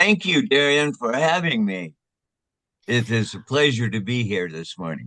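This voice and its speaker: The tone is bright and sharp, with very wide pitch swings. The pace is moderate. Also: man, medium pitch for a man. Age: 80s+. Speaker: retired lay minister, army veteran, blind advocate. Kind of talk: interview. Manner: halting, many fillers.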